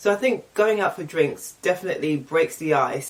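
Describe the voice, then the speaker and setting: A woman's pitch swings very widely as she talks at a moderate pace, with noticeable background noise behind her. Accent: English. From England. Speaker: YouTuber. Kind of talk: casual vlog Q&A. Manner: casual, chatty.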